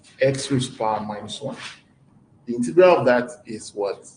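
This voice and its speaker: A man speaks at medium pitch. There is audible room echo. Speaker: mathematics lecturer. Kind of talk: lecture.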